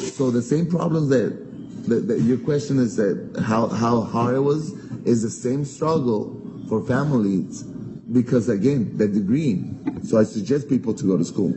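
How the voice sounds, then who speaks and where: A man at medium pitch with a Spanish accent, moderate pace and lively intonation, plus noticeable background noise. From Mexico, Guadalajara. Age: 40s. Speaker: restaurant owner, entrepreneur. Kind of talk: interview. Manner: halting.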